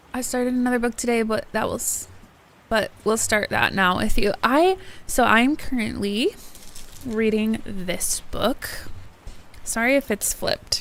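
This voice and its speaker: A woman speaks at a fairly slow pace, leaving long, frequent pauses. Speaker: book streamer. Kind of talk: casual livestream chat. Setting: livestream. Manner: chatty, hesitant with many fillers; loud.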